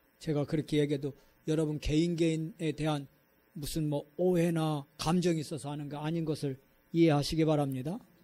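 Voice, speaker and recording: Fairly high-pitched and dark, mellow in tone, a man talks at a fairly quick pace in monotone, flat intonation on a very clean recording with a silent background. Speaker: pastor. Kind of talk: sermon. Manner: sharp intonation; blunt, direct delivery.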